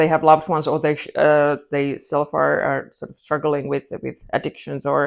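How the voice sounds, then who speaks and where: A woman with a Finnish accent at a fairly quick pace, with big swings in loudness. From Finland. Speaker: crime writer. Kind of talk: interview. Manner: halting.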